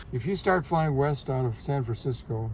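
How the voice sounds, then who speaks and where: A man speaks with a dark, mellow tone and a somewhat breathy quality. His pitch varies in an ordinary way. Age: 90s. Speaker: retired bird photographer. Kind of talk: interview. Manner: halting, repeats words.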